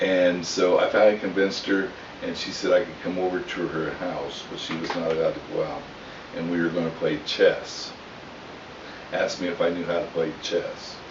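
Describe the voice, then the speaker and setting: A man talks at a moderate pace with audible room echo and noticeable background noise around him. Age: 60s. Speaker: storyteller, army veteran. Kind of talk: family storytelling. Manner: casual, halting.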